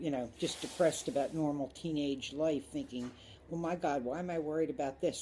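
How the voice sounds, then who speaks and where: At a moderate pace, a woman with an American accent speaks in a very deep, low pitch, with a dark, mellow tone and fairly even intonation. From Philadelphia, US. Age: 60s. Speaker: interviewee. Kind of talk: oral history interview. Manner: hesitant, many fillers.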